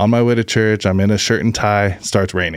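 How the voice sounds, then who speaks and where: On a very clean recording with a silent background, a man with an unremarkable speaking voice talks in an American accent at a fairly low pitch, with fairly even intonation and a moderate pace. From Oregon, US. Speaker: barbecue business owner. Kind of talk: testimony.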